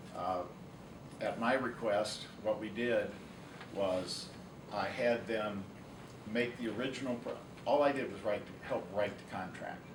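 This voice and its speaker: A man with an American accent talks at a fairly slow pace with long, frequent pauses and fairly even intonation, amid audible room echo and noticeable background noise. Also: medium pitch for a man. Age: 60s. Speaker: lawyer. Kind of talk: public meeting presentation. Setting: county council meeting.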